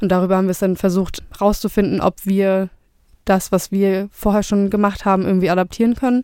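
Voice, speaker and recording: A woman talks at a fairly quick pace in a dark, mellow voice of medium pitch. Her intonation is monotone and flat, and her loudness stays very even. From Flensburg, northern Germany. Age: 20s. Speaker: startup co-founder. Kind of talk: interview.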